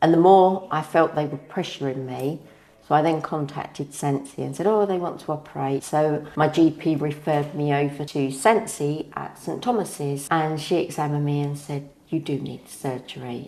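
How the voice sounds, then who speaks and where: With a southern English accent, a woman speaks in a very deep, low pitch and a dark, mellow tone with fairly even intonation. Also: moderate pace. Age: 60s. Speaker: patient. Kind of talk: testimony.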